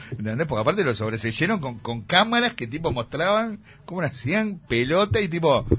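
A man with a Uruguayan accent speaks at a moderate pace, his pitch swinging very widely. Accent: Rioplatense Spanish (Uruguayan). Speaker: music columnist. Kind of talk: casual radio chat.

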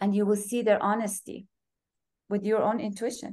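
This woman speaks with a Persian accent. Her pitch is fairly high. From Iran, then Europe and US as teen. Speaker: yoga and Ayurveda practitioner. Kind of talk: casual interview.

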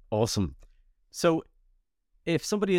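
Someone with a Dublin accent speaks at a fairly quick pace on a very clean recording with a silent background. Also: man. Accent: Irish (Dublin). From Ireland (Dublin). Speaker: podcast host. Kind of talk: interview.

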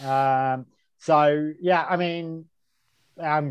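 Against a quiet background, a man with an English accent speaks at a fairly high pitch with fairly even intonation. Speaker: podcast co-host. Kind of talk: casual chat. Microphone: no headphones, may sound poor.

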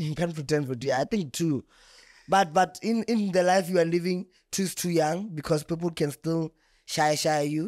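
Recorded very cleanly with a silent background and a dry, close sound with no echo, a man with a high pitch speaks at a moderate pace with ordinary pitch variation. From South Africa, Limpopo village. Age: 20s. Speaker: content creator. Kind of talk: casual chat.

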